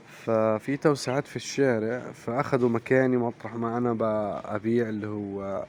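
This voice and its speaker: Against noticeable background noise, a man speaks at a fairly slow pace in a monotone, flat delivery with hardly any pauses. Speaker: poultry farmer and vlogger. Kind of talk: casual vlog talk to viewers. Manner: hesitant with fillers.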